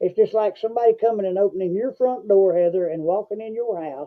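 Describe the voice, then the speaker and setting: A man speaks with an Appalachian accent at a high pitch. His pitch variation is ordinary and his pace fairly quick. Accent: Southern US (Appalachian). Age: 60s. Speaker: podcast host. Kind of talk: casual chat. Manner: halting, many fillers and repetitions.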